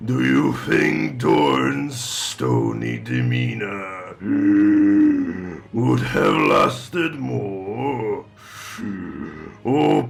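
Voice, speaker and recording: Very slow and very deep, a man's put-on character voice comes through over clear background noise. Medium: audio drama. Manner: mocking, slow, tempting.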